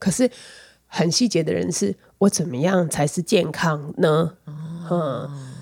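At a very slow pace, the speaker sounds somewhat breathy, with ordinary pitch variation. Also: woman, fairly low pitch for a woman. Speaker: podcast host. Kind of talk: casual chat.

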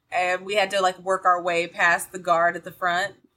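A woman with an American accent speaks in a bright, sharp tone with monotone, flat intonation. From US South, Georgia. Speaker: actor and tabletop game player. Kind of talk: casual chat.

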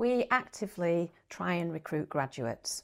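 In a very clean recording with a silent background, a woman speaks with a Yorkshire accent. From northern England, Bradford area, West Yorkshire. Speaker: primary school head teacher. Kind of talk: interview.

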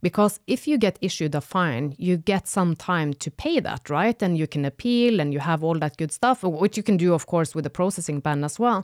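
A woman with a Norwegian accent speaks at a fairly quick pace with hardly any pauses, her fairly low pitch carried by lively intonation, in a dry, close recording with no echo that is very clean, with a silent background. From northern Norway. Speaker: data protection consultant. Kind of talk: casual chat.

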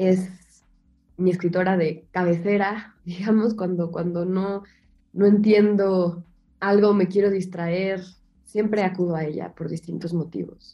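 At a fairly slow pace, a woman speaks at a medium pitch in a dark, mellow tone with monotone, flat intonation. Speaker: writer and translator. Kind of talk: interview.

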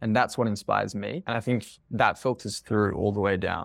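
A man with an Australian accent speaks at medium pitch and a moderate pace with ordinary pitch variation, on a very clean recording with a silent background. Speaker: marketing agency co-founder. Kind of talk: podcast interview. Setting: call.

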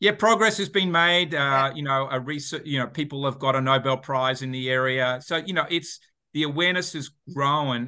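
The speaker talks at a fairly quick pace in an Australian accent, with ordinary pitch variation. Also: man. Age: 50s. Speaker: entrepreneur and author. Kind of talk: podcast interview.

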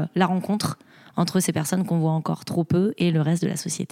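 A woman with a dark, mellow tone and a fairly low pitch talks fairly quickly in a monotone, flat intonation. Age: 30s. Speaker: restaurant founder. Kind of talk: interview. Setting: host's home.

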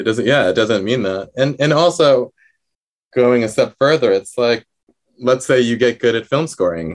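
Ordinary pitch variation marks this man's speech. He talks at a moderate pace. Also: medium pitch for a man. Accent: New Jersey. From New Jersey, US. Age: 30s. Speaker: composer and violinist. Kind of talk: interview. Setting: video call. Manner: halting, many fillers.

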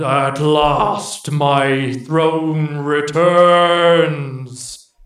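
A rumbling, booming put-on character voice comes through with a slight echo. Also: man, fairly high pitch for a man. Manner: booming, echoing.

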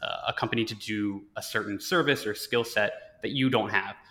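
With a bright, sharp tone, a man talks at medium pitch using ordinary pitch variation. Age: 20s. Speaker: podcast host. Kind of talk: interview.

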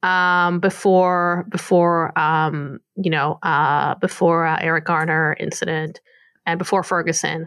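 A woman's fairly low voice, monotone and flat in intonation, at a fairly slow pace. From Israel, near Tel Aviv. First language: Hebrew. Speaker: podcast co-host, former police social media manager. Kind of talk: casual chat.

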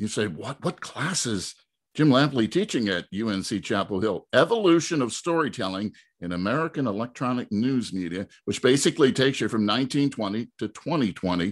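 A man with a normal speaking voice talks at a moderate pace in a medium pitch, his intonation lively, against a quiet background. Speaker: podcast host. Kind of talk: interview.

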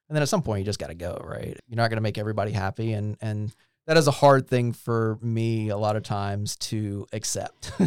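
A man speaks in an ordinary speaking voice with an American accent, his pitch fairly low and his pace fairly quick, his intonation fairly even on a very clean recording with a silent background. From Eastern North Carolina, US (Goldsboro). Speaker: local business leader, chamber of commerce president. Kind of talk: casual interview chat. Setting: studio.

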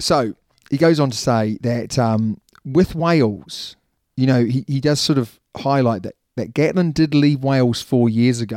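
An unremarkable speaking voice moves at a fairly slow pace with ordinary pitch variation, captured in a very clean recording against a silent background. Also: man, medium pitch for a man. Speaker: rugby podcast host. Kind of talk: casual chat, sports podcast.

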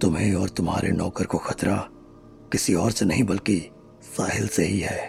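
With music in the background, a man does a shaky, put-on character voice at a very deep, low pitch and a moderate pace. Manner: frightened, trembling.

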